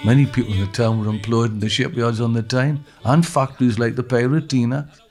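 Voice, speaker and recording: Music sounds in the background while a man talks at a very fast pace. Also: medium pitch for a man, fairly even intonation. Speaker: poet and playwright. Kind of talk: documentary narration.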